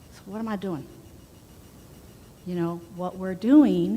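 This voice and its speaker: A woman speaks in a dark, mellow tone that is somewhat breathy. Audible room echo surrounds her voice. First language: not English. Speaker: spiritual minister. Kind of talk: sermon. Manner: casual conversational.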